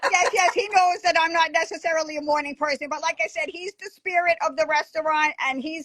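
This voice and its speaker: Extremely high-pitched woman with an American accent, fairly quick, with ordinary pitch variation, dry, close sound with no echo and noticeable background noise. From Long Island, New York (North Fork). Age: 60s. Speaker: restaurant owner. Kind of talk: casual interview chat.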